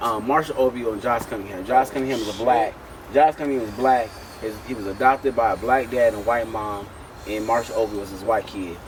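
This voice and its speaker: Noticeable background noise sits behind a man speaking at a fairly quick pace. His pitch is medium, and his loudness swings widely. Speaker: interview guest, comedian. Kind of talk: casual chat. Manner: animated.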